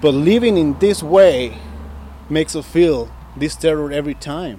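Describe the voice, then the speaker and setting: This is a normal speaking voice from a man. His pitch is fairly high, with ordinary variation. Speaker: immigrant, community member. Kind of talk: interview.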